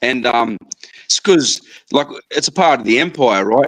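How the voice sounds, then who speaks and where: A man with an Australian accent, lively intonation and a moderate pace. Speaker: live stream participant. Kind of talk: casual chat.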